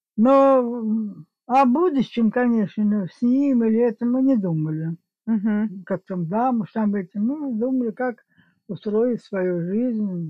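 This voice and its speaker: This woman speaks at a very slow pace, her voice fairly high and somewhat breathy. Her intonation is lively. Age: 80s+. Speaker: grandmother, guest. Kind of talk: casual chat, interview.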